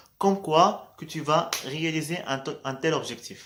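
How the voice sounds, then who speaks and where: A man with a Moroccan accent and lively intonation. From Morocco. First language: Moroccan Arabic (speaking French). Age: 20s. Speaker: vlogger. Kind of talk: casual motivational vlog. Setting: at night, in low light. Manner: hesitant, many fillers.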